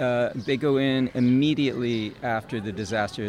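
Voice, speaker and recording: Flat, monotone intonation is heard against noticeable background noise. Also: man. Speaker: nonprofit founder. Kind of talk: interview. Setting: outdoors.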